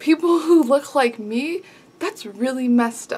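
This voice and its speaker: A soft-spoken woman at a fairly slow pace. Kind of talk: casual talk to camera. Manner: soft-spoken, quiet.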